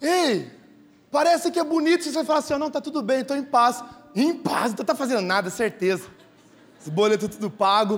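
A man talks at a fairly quick pace with an extremely high pitch and lively intonation. Long, frequent pauses break up his speech. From São Paulo state interior, Brazil. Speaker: pastor. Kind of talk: sermon. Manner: animated.

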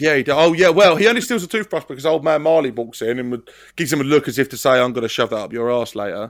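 With an English accent, a man talks at a very fast pace with hardly any pauses, a fairly high pitch and lively intonation, on a very clean recording with a silent background. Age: 30s. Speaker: podcast host. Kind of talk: casual chat.

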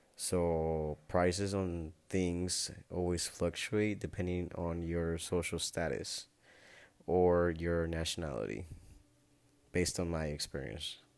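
A very slow delivery with a Spanish accent and ordinary pitch variation, in a very clean recording with a silent background. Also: man, very deep, low pitch for a man. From Nayarit, Mexico. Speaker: podcaster. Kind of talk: casual monologue.

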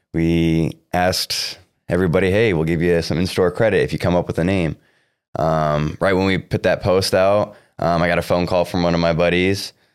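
A man with a Midwestern US accent and a very deep, low pitch speaks at a moderate pace with very even loudness and fairly even intonation, in a very clean recording with a silent background. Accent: US Midwest. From Iowa (Cedar Rapids). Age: 20s. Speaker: young entrepreneur, sneaker store co-founder. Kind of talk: interview. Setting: on location in a shoe store at a mall.

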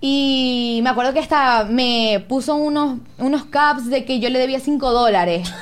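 A woman with a Zulian accent talks at a fairly slow pace in a high voice, with ordinary pitch variation, very even loudness and hardly any pauses. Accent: Venezuelan Zulian (maracucho) Spanish. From Venezuela, Zulia (Maracaibo). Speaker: TikTok creator. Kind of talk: casual chat. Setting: studio.

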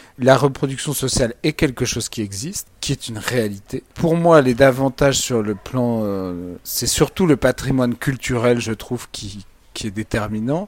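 An ordinary speaking voice talks at a moderate pace with ordinary pitch variation and big swings in loudness. The sound is dry and close, with no echo. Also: man, medium pitch for a man. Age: 30s. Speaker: lawyer and political commentator. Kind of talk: interview.

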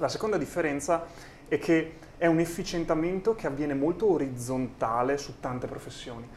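A man with a plain, everyday voice, fairly high-pitched, talking at a fairly quick pace with ordinary pitch variation. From rural Italy, small village. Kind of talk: interview conversation.

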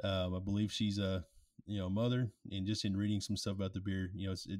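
At a fairly quick pace, the speech comes through on a very clean recording with a silent background. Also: man. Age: 30s. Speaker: beer review podcast co-host. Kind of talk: casual chat. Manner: animated.

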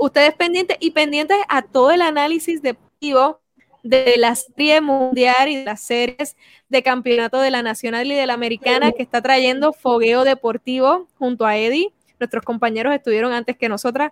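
This woman's voice sits high, with ordinary pitch variation at a moderate pace. The sound is dry and close, with no echo. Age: 20s. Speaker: sports show host. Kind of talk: casual sports panel talk.

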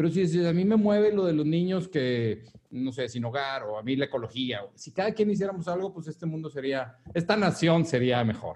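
With lively intonation, a man speaks at a fairly quick pace. His pitch is fairly high. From Mexico, Monterrey. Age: 40s. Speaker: wellness business owner, former engineer. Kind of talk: interview. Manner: halting, many fillers.

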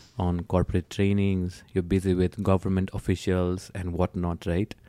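With a Nepali accent, a man speaks at a moderate pace in a very deep, low voice with a dark, mellow tone and a dry, close sound with no echo. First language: Nepali or Newari. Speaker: podcast host. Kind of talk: casual interview chat.

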